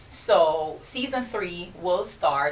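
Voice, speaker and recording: Speaking with a Jamaican accent, a woman with a fairly low voice swings her pitch very widely over noticeable background noise. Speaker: entrepreneur and podcast host. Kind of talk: radio interview. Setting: radio studio.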